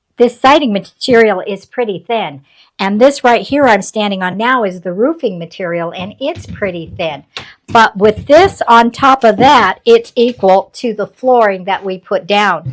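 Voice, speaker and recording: Here a woman with an American accent speaks in an unremarkable speaking voice at medium pitch. Her pace is fairly slow and her intonation lively. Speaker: retired homesteader vlogger. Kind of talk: casual vlog narration.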